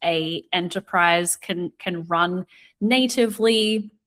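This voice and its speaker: Over a very clean recording with a silent background, a woman with an Australian accent speaks with ordinary pitch variation. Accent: Australian, similar to New Zealand. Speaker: retail media analyst. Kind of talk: podcast interview.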